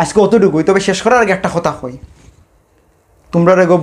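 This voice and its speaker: This is a man speaking. He has a Sylheti accent. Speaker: stand-up comedian. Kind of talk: stand-up comedy monologue.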